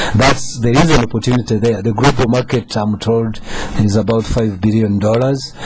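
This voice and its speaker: At a moderate pace and with ordinary pitch variation, the voice plays over music in the background. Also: man. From Uganda. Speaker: government economic official. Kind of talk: radio talk show discussion. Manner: halting, many fillers.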